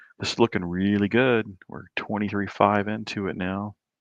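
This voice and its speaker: Quiet and at a moderate pace, a man with an American accent is recorded with a dry, close sound with no echo. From Southern Illinois. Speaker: livestream host, amateur astronomer. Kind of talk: casual chat. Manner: hushed, quiet.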